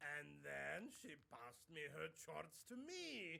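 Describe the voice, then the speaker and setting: The pace here is very slow. A put-on character voice carries it. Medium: video game. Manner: mocking, boastful.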